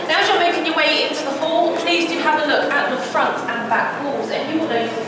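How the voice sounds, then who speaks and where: The speech comes at a fairly quick pace. Loud background noise and audible room echo surround it. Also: woman. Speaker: tour guide. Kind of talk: guided tour commentary. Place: hall. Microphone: camera far.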